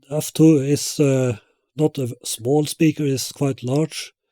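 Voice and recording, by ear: A man speaks slowly at a medium pitch, his dark, mellow tone carried by fairly even intonation.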